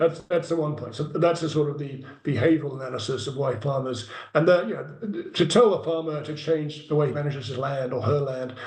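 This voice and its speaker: In an English accent, a man with a fairly high pitch talks at a fairly quick pace with ordinary pitch variation, amid noticeable background noise and audible room echo. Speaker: carbon farming project developer. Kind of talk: Q&A answer in an online meeting.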